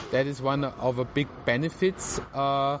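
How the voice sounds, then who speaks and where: Here a man is talking. His pace is very slow. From southern Germany (Swabia, Tübingen). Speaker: animator. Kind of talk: interview. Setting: outdoor venue on artificial grass.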